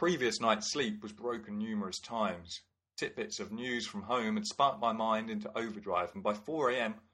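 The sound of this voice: The background is quiet as someone reads in an unforced voice.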